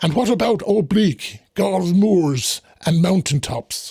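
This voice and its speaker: In a put-on character voice, a man speaks fairly slowly at a high pitch with very wide pitch swings. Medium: read story. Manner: earnest, instructive.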